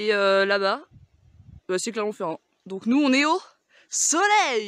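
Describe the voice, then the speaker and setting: A woman's lively intonation at a very slow pace. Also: fairly high pitch for a woman, dry, close sound with no echo. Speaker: vlogger. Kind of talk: casual vlog chat. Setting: outdoors, mountain hike. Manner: loud.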